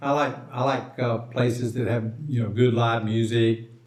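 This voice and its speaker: This man's voice is heard with audible room echo, and noticeable background noise sits behind it. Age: 70s. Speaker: expat video maker. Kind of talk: casual chat. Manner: halting.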